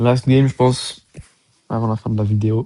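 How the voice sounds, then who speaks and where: A man's somewhat breathy voice, dark and mellow in tone, medium in pitch, with a dry, close sound and no echo. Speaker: gaming YouTuber. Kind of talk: gameplay commentary.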